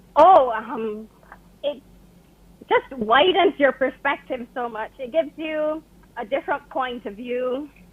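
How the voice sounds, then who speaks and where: A woman speaks fairly slowly in a high voice with ordinary pitch variation and long, frequent pauses. Her loudness swings widely over noticeable background noise. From Barbados. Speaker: author. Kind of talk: interview.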